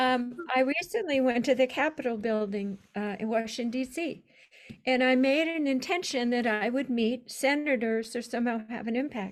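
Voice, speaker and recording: Her pitch is high for a woman. She uses ordinary pitch variation. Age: old. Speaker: doctoral candidate and voice release practitioner. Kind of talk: dissertation defense Q&A.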